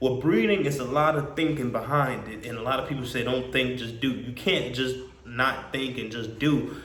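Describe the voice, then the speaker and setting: A man talks with audible room echo and noticeable background noise in the recording. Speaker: dog breeder and vlogger. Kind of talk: casual vlog monologue. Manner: halting, with repetitions and fillers.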